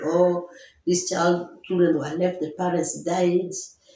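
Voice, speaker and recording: Audible room echo surrounds a woman speaking at a fairly low pitch and a moderate pace. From Kenya. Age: 60s. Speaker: children's home founder. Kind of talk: interview. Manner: halting.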